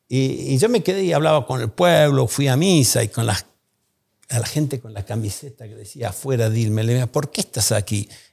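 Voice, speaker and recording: A somewhat breathy man at a moderate pace, with big swings in loudness, over a quiet background. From Argentina. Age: 60s. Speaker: economist and think tank founder; podcast guest. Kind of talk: interview. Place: studio. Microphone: studio mic.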